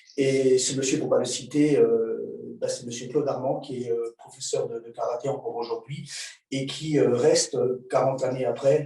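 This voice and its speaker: A man talks at a moderate pace, and the room around him echoes audibly. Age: 60s. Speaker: martial arts instructor. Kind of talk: lecture. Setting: video call. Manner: halting, many filler sounds.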